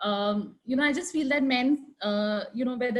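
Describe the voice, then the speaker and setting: A loud, high-pitched woman's voice with an Indian accent, at a moderate pace with ordinary pitch variation. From India, Delhi. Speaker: architect. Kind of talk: panel discussion. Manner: hesitant, many fillers.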